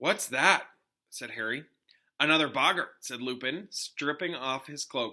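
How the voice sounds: Quiet background, a natural reading voice, pitch varying in an ordinary way.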